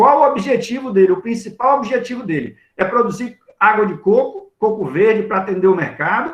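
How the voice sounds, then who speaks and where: The man speaks at a moderate pace in a high voice. His intonation is lively. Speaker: agronomist giving a talk. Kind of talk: lecture Q&A.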